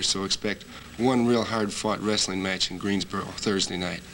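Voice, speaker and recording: A man with a fairly low pitch speaks at a moderate pace against noticeable background noise. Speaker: professional wrestler. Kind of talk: wrestling promo interview answer.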